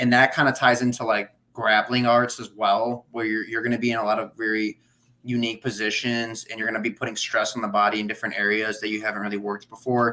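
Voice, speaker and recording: A man with a Chicago accent speaks at a medium pitch. His pace is very fast and his intonation monotone and flat. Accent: Chicago American English. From US Midwest, Chicagoland. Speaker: gym and grappling buddy. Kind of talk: casual chat. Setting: livestream.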